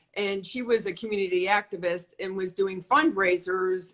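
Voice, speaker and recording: A woman talks at a fairly slow pace and medium pitch. She has a normal speaking voice. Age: 60s. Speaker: modeling agent. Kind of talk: interview.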